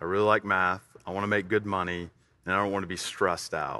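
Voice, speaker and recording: The speaker has an Alabama accent and a bright, sharp tone at a fairly quick pace. The background is quiet. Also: man. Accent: Southern US (Alabama). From US South, Tuscaloosa, Alabama. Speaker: CrossFit gym owner. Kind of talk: casual interview.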